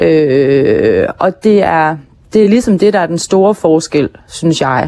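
A woman speaks at a very slow pace in a dark, mellow tone. Her intonation is lively. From Hirtshals, North Jutland, Denmark. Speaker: actress and podcast host, author. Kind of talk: interview. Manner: hesitant, many filler sounds.

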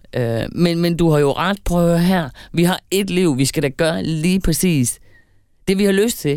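A woman speaks in a plain, everyday voice, fairly low-pitched with ordinary variation in pitch. Her pace is fairly slow and her loudness stays very even. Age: 50s. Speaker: podcast co-host. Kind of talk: casual chat.

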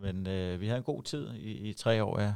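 Fairly low in pitch and with fairly even intonation, a man speaks on a very clean recording with a silent background. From Denmark, Herlev (Copenhagen area). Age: 40s. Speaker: handball head coach. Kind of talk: interview. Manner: halting, many fillers and repetitions.

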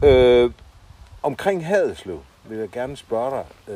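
Lively intonation marks speech delivered at a very slow pace. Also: man. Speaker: podcast host. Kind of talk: interview. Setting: outdoors in a garden. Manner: halting, many fillers.

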